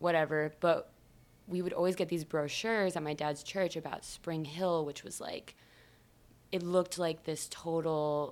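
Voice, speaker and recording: A woman with a normal speaking voice, fairly low pitch, ordinary pitch variation, and a fairly slow pace. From US Midwest, Michigan. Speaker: musician. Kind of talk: casual chat.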